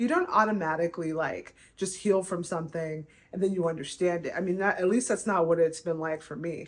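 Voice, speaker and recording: A woman's fairly low voice holds fairly even intonation. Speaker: artist and vlogger. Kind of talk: personal vlog monologue. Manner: halting, many fillers.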